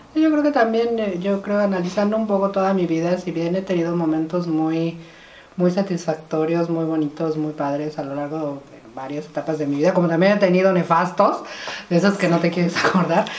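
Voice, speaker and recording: Over noticeable background noise, a woman with a fairly low voice talks at a fairly quick pace. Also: ordinary pitch variation. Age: 50s. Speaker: podcast host. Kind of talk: casual chat.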